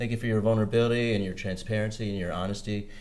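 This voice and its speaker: The speech has fairly even intonation, and audible room echo surrounds it. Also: man. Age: 50s. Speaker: podcast co-host. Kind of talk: interview.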